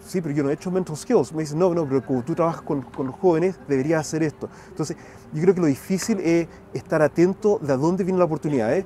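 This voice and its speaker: A man with fairly high pitch and ordinary pitch variation talks at a very fast pace over noticeable background noise. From Chile, raised partly in the US. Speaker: rugby mental skills coach and educator. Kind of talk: podcast interview. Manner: halting, frequent self-corrections.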